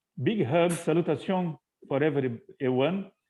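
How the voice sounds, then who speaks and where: The man has a Portuguese accent and a fairly high pitch. He speaks at a fairly slow pace with ordinary pitch variation. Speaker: interpreter. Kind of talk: live interpretation. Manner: halting.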